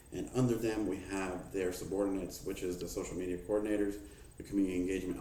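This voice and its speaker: Very deep and low, a man's voice races at a very fast pace. His intonation is fairly even, and the room echo is audible. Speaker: student presenting a mock HR manager briefing. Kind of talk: mock business presentation.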